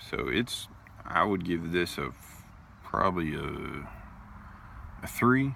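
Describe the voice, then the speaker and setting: A man talks at a very slow pace with a very deep, low pitch and vocal fry. His pitch swings very widely, and he leaves long, frequent pauses. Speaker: pipe tobacco reviewer. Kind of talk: casual video review. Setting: outdoors at a park.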